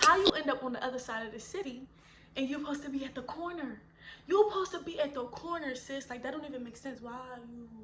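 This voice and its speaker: A woman talks in a raised, projected voice at a high pitch, with ordinary pitch variation. Her pace is very fast and her loudness swings widely. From Philadelphia. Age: 20s. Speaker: mother and YouTuber. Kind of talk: casual story time to camera. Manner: animated, expressive.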